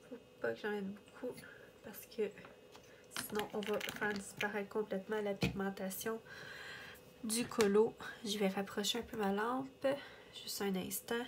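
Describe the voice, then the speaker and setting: Over noticeable background noise, a woman speaks slowly in a fairly high, monotone voice with flat intonation. She leaves long, frequent pauses. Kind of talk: casual coloring chat to camera.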